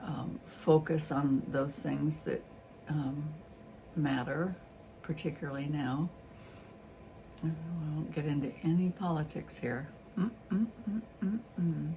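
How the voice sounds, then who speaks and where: The voice is relaxed, dark and mellow, with vocal fry and ordinary pitch variation. It moves at a fairly slow pace with long, frequent pauses. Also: woman, very deep, low pitch for a woman. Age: 70s. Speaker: YouTuber and artist. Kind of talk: casual vlog monologue. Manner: relaxed, hesitant with fillers.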